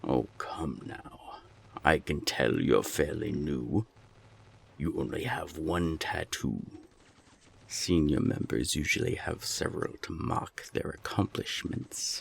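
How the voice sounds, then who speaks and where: A man puts on a character voice. His pitch is very deep and low, and his pace is fairly slow. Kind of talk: audio drama. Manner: threatening, cold.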